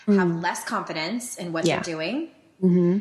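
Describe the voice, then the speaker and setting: Her pitch is fairly low, with ordinary variation, as this woman speaks. Noticeable background noise runs through the clip. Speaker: life coach and podcast host. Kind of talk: podcast conversation.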